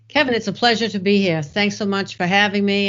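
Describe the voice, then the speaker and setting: The woman's voice sits at a medium pitch with ordinary pitch variation. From Boston, Massachusetts. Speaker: IT project manager and author. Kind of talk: podcast interview.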